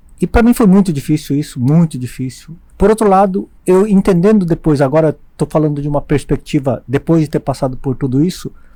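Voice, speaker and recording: A man's fairly high-pitched voice with a dark, mellow tone, ordinary pitch variation and a moderate pace. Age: 60s. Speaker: eye surgeon and teacher. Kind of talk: podcast interview. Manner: halting.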